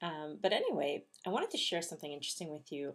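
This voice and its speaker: A woman's voice with a very deep, low pitch. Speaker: online marketer, vlogger. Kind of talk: casual video blog. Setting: in-laws' home at night. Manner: quiet, hushed; many fillers, uh and um.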